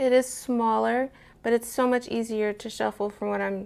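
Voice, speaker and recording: On a very clean recording with a silent background, a woman speaks at a moderate pace in a fairly high pitch. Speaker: tarot YouTuber. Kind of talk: casual show-and-tell video. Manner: quiet, soft-spoken.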